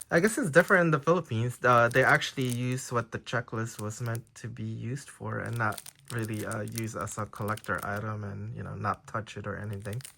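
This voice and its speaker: In a Filipino accent, the voice has a bright, sharp tone and ordinary pitch variation. It moves at a fairly quick pace with hardly any pauses. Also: man, medium pitch for a man. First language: Tagalog. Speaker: trading card collector YouTuber. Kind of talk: casual unboxing video. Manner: hesitant, many fillers.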